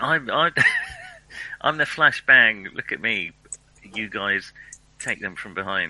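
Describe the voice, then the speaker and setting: Over noticeable background noise, a man with a British accent speaks at a very slow pace. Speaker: tabletop game player. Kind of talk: casual chat.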